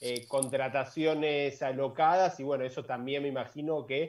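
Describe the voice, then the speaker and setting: Here is a man with an ordinary speaking voice, pitched fairly high and moving at a moderate pace. Behind him the background is quiet. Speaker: sports podcast host. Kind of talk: interview.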